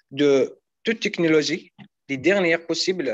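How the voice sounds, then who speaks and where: At a very slow pace, the pitch shows ordinary variation. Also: man. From Algeria. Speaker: international student; student guide. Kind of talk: casual presentation. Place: hall. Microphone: video call.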